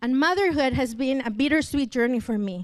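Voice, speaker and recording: In a very clean recording with a silent background, a woman with a Spanish accent talks at a moderate pace in a high pitch with ordinary pitch variation. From Mexico (Cancun). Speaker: church member and translator. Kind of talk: testimony.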